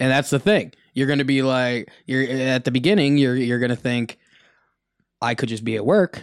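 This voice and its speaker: A man's normal speaking voice, medium in pitch with ordinary pitch variation, at a moderate pace on a very clean recording with a silent background. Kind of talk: casual podcast chat. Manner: joking, playful.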